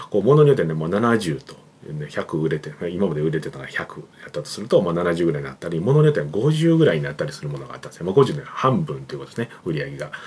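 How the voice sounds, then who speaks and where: Against noticeable background noise, a man with a very deep, low voice talks very fast, his pitch swinging very widely and his loudness rising and falling sharply. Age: 40s. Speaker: creative director and YouTube channel host. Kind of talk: solo business talk to camera. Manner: casual, filler-heavy with frequent ね and まあ.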